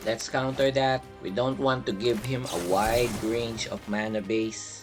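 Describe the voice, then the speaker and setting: With music in the background, a man talks at a fairly slow pace and lively intonation. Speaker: card game content creator. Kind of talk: gameplay commentary.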